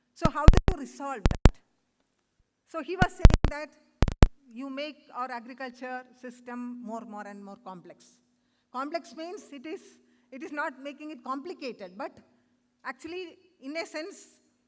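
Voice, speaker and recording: A woman with a high voice speaks at a moderate pace with ordinary pitch variation. Her loudness swings widely, and she pauses long and often. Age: 60s. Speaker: conference speaker. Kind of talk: conference talk. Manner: halting.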